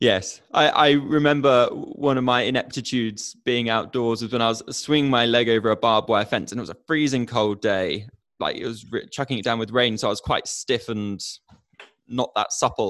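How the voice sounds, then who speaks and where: Keeping a moderate pace and fairly even intonation, a man with a plain, everyday voice talks at a medium pitch. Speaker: podcast host. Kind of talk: interview. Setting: virtual studio, video call.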